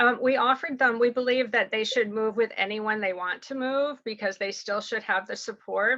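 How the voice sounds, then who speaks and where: A woman talks with fairly even intonation at a fairly high pitch. Hers is an unremarkable speaking voice. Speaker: surrogacy agency representative. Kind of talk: Q&A answer; information session presentation.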